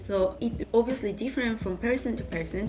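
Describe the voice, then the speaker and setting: A woman talks at a fairly quick pace with ordinary pitch variation as noticeable background noise plays. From Spain. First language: Spanish. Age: 20s. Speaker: university student vlogger. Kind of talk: casual Q&A vlog.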